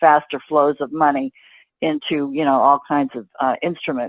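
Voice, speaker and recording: Moderately paced speech from a woman with an American accent. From Boston area, Massachusetts. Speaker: financial writer and journalist. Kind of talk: interview answer.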